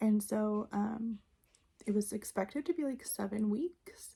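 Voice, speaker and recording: A soft-spoken woman whispers, somewhat breathy, at a very slow pace. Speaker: book reviewer. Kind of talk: casual talk to camera. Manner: soft-spoken, almost whispered.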